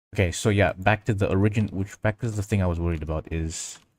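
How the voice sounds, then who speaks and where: Here a man speaks with a very deep, low pitch. His intonation is fairly even. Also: dry, close sound with no echo. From Indonesia. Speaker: 3D animation live streamer. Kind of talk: casual live stream tutorial. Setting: live stream reading chat. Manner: halting, many self-corrections.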